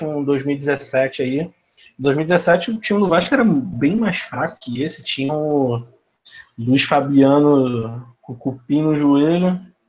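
A man with an ordinary speaking voice and a fairly high pitch speaks at a fairly slow pace with ordinary pitch variation. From Brazil, Rio de Janeiro city. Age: 20s. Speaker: football fan. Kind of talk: casual chat.

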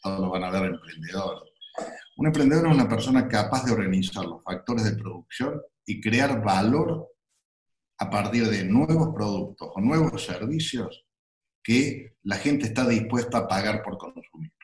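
A man speaks at a moderate pace with a medium pitch and lively intonation. His voice is somewhat breathy. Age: 60s. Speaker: entrepreneur and university founder. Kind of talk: interview. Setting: video call. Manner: halting.

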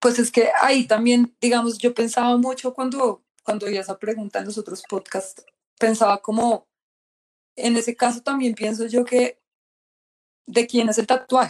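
A woman's fairly high voice, dry and close with no echo, in a monotone, flat delivery. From Colombia. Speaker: tattoo artist and painter. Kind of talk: casual interview chat.

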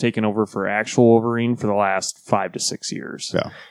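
A man talks very fast in a fairly low, monotone, flat voice, the sound dry and close with no echo. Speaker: comics podcast co-host. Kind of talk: casual chat. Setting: studio. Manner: quiet.

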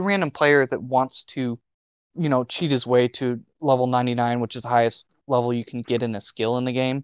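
A man speaks with an American accent at a moderate pace and a medium pitch. His is an unremarkable speaking voice, heard dry and close with no echo. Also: quiet background. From US South. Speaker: podcast co-host. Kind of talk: casual chat.

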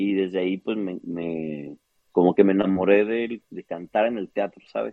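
The pitch of this man's voice is very deep and low. It varies in an ordinary way. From northern Mexico, Chihuahua. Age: 30s. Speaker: opera singer. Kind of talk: interview.

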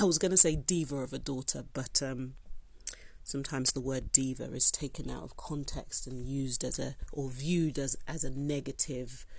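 The voice is somewhat breathy, with fairly even intonation at a moderate pace. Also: woman, very deep, low pitch for a woman. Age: 30s. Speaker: podcast host, paralegal. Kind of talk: solo monologue podcast.

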